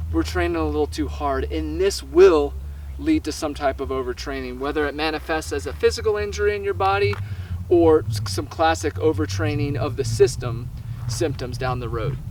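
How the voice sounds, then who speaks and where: A man speaks loudly at a moderate pace, his fairly low voice making very wide pitch swings. Audible room echo and noticeable background noise surround him. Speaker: running coach. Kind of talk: online course lecture. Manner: animated.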